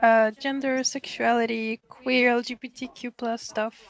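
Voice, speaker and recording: In a strong French accent, the speaker talks at a fairly slow pace with monotone, flat intonation. The sound is dry and close, with no echo. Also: woman. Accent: strong French-sounding. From Russia. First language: Russian. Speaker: university student. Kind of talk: casual chat.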